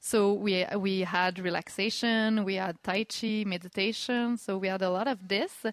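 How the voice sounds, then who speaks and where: A woman speaks in a French accent at a medium pitch and a moderate pace. Her intonation is fairly even and her loudness very even. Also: hardly any pauses. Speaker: communications director at a community hub. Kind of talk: live radio interview.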